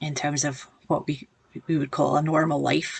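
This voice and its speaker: A woman speaks in a Glaswegian accent. Her pitch is very deep and low, and her pace is fairly slow. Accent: Glaswegian, noticeable. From Scotland, Glasgow. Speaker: project manager giving a church devotional. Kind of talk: devotional talk to camera. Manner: halting, many fillers.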